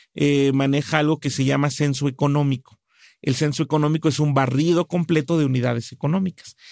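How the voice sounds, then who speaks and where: A plain, everyday voice from a man, fairly high in pitch, fairly quick and fairly even in intonation, dry and close with no echo on a very clean recording with a silent background. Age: 40s. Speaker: business consultant. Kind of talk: interview.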